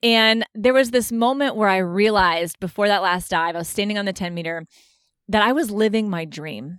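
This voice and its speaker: A woman's plain, everyday voice, medium in pitch with ordinary pitch variation and an American accent, at a fairly quick pace on a very clean recording with a silent background. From United States. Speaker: retired Olympic diver. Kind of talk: interview.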